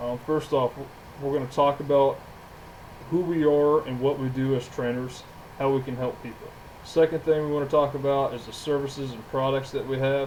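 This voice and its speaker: At a moderate pace, a man speaks with fairly high pitch and monotone, flat intonation. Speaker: gym owner and trainer. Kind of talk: podcast monologue.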